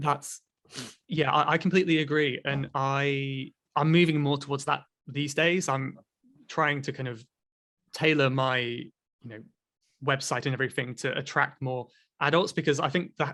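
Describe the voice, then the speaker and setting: With an English accent, a man speaks at a moderate pace in a fairly high pitch and a bright, sharp tone, his intonation fairly even and his long pauses frequent, over a quiet background. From Cornwall, England. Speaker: online English teacher and podcast host. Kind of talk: podcast conversation.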